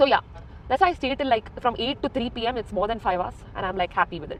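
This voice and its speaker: In a Goan accent, a woman speaks very fast at a fairly high pitch with lively intonation. Noticeable background noise runs underneath. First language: Konkani. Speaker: vlogger. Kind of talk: casual vlog talk while driving. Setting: in a car.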